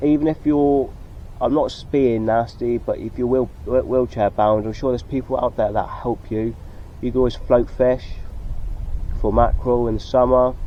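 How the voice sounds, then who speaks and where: Mumbling with fairly even intonation, a man speaks in a West Country accent. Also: medium pitch for a man, moderate pace. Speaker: sea angler vlogger. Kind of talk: casual vlog talk to camera. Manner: halting.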